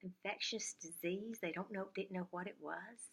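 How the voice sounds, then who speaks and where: This woman's voice has a warm tone and fairly even intonation. She speaks at a fairly slow pace. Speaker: lifestyle YouTuber. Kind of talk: casual talk to camera. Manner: warm, reflective.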